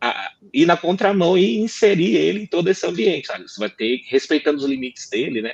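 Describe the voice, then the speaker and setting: This man's speech moves fairly quickly. His pitch rises and falls very widely. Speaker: lawyer, law firm partner. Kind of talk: panel discussion. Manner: fast.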